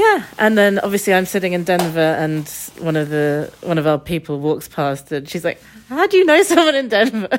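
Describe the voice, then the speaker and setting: A woman with an English accent speaks at a fairly quick pace with lively intonation over noticeable background noise. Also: fairly low pitch for a woman. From England. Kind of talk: casual chat. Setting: hotel room.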